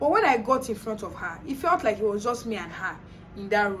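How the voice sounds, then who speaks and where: A woman at medium pitch and a fairly quick pace, with ordinary pitch variation, noticeable background noise and audible room echo. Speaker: vlogger sharing personal experience. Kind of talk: casual storytelling.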